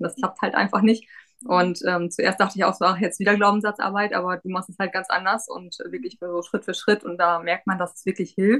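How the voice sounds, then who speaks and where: Using a normal speaking voice, a woman talks at a fairly quick pace and medium pitch. Her intonation stays fairly even, while her loudness swings a lot. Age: 30s. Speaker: pharmacy technician, coaching client. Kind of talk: interview.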